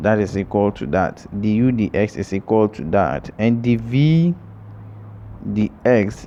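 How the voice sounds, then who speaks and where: The man's fairly low voice carries ordinary pitch variation. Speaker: math tutor. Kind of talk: tutorial. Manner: slow.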